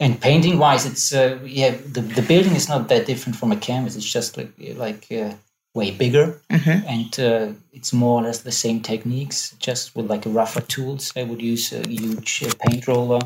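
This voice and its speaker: A somewhat breathy male voice of medium pitch, with ordinary pitch variation at a moderate pace. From Germany. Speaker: street artist. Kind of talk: interview. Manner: halting.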